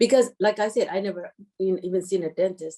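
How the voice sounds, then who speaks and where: A woman speaks at a medium pitch with a dark, mellow tone and an Eritrean accent, moving at a fairly quick pace. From Eritrea, Asmara. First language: Tigrinya. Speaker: dentist. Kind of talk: interview.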